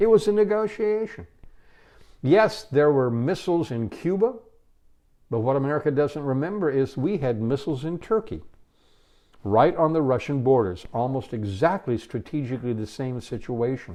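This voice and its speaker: Against a quiet background, a man talks at a fairly high pitch. His pitch swings very widely. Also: moderate pace. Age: 70s. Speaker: workshop trainer. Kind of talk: recorded intro talk.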